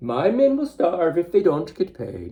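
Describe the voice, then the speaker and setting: A man puts on a character voice, pitched high and swinging very widely, delivered at a moderate pace. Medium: read story. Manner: stammering when scared.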